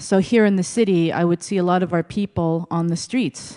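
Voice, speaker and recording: A woman with a Canadian accent speaks at medium pitch in a dark, mellow tone with ordinary pitch variation. The sound is dry and close with no echo over a quiet background. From Montreal, Quebec. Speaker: executive director of a native women's shelter. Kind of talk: conference presentation. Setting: stage with audience. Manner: storytelling.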